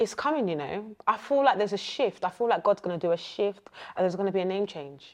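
With lively intonation and an animated tone, the speaker races along at a very fast pace. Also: woman, medium pitch for a woman. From Essex, England. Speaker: spoken word poet. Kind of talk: casual interview chat.

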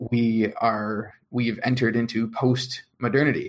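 A man speaks in a normal speaking voice at a medium pitch. His intonation is fairly even. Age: 20s. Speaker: blogger. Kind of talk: casual chat.

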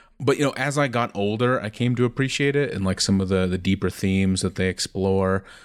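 A man with an American accent speaks in a plain, everyday voice at a fairly low pitch with ordinary pitch variation. His fairly quick pace leaves hardly any pauses, on a very clean recording with a silent background. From Ohio. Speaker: library IT administrator. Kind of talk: casual chat.

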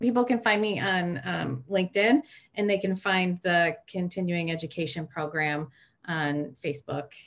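Lively intonation marks a woman speaking at a moderate pace and fairly low pitch with a Michigan accent. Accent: Inland North American (Michigan). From Michigan, Detroit suburbs. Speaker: social work educator. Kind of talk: interview.

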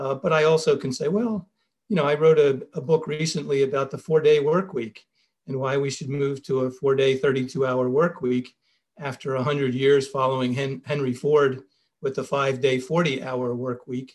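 A man with a Philadelphia accent talks at a moderate pace, his fairly high voice somewhat breathy and his intonation fairly even. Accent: American, Philadelphia. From US, Philadelphia. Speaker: business school professor. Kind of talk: interview.

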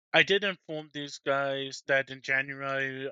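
Delivered at a very slow pace, the speech has a monotone, flat intonation. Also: man. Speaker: podcast host. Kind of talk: casual chat.

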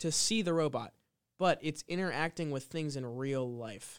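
Recorded very cleanly against a silent background, a man speaks in an unremarkable speaking voice at a fairly high pitch. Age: 20s. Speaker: podcast co-host. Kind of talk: casual chat.

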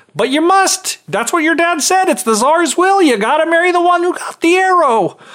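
A put-on character voice at a moderate pace, with hardly any pauses. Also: man, extremely high pitch for a man. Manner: insistent, bossy.

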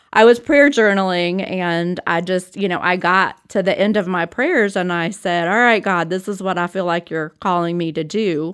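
The recording is very clean, with a silent background, as a woman talks at a moderate pace with hardly any pauses. Her pitch sits in the medium range and shows ordinary variation. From South Florida, Homestead. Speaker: pastor. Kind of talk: casual interview, personal testimony. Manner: halting, many fillers.

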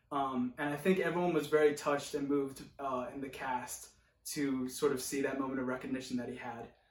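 A man with an American accent speaks at a fairly quick pace and a fairly high pitch, in a monotone, flat intonation. Audible room echo and noticeable background noise accompany him. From rural Oregon. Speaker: actor. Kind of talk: monologue.

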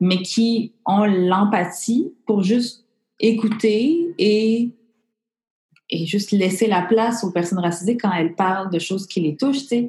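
Somewhat breathy and dark, mellow in tone, a woman's medium-pitched voice moves at a fairly slow pace. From Montreal, Quebec. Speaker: comedian, former journalist. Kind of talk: casual interview.

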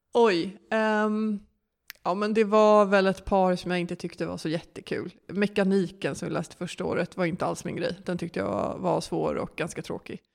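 In an unremarkable speaking voice, a woman of medium pitch speaks at a moderate pace with fairly even intonation on a very clean recording with a silent background. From Sweden, Stockholm. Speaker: management consultant. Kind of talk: interview.

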